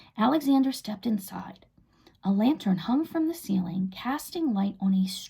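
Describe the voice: Lively intonation shapes what is plain reading aloud.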